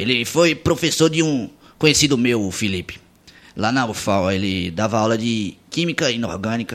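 An unremarkable speaking voice from a man, medium in pitch, lively in intonation, at a moderate pace. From Pernambuco sertão, Brazil. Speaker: radio host. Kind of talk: casual chat.

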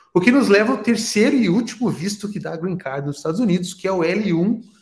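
A man with lively intonation. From Brazil. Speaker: immigration consultant. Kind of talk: podcast interview.

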